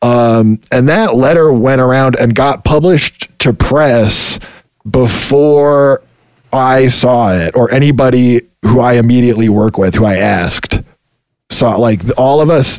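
A man uses a normal speaking voice at a medium pitch and a moderate pace. His pitch varies in an ordinary way, and his loudness stays very even. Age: 30s. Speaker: video game QA worker. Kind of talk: interview.

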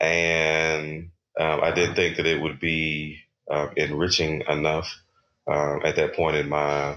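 This man talks with an American accent at a fairly slow pace. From Texas, Houston. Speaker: HIV/AIDS activist and physician. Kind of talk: interview. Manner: halting, many fillers.

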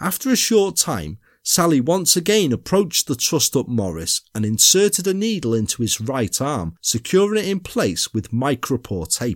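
In a British accent, a man talks at a moderate pace with hardly any pauses, his fairly high pitch swinging very widely. The sound is dry and close with no echo, on a very clean recording with a silent background. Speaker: true crime podcaster. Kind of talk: true crime narration, dramatic storytelling read in a measured, suspenseful tone. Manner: formal, literary storyteller.

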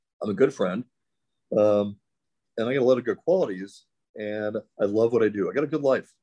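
A man with a Midwestern American accent speaks at a fairly quick pace in a dark, mellow tone, using ordinary pitch variation and taking long, frequent pauses. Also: medium pitch for a man. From US Midwest, St. Louis, Missouri. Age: 50s. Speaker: chiropractor. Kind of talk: casual chat.

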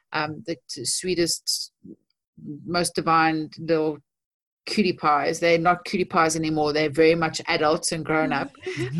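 A woman's very deep, low voice at a fairly slow pace, with fairly even intonation and long, frequent pauses. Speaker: guest sharing life story. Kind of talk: testimony.

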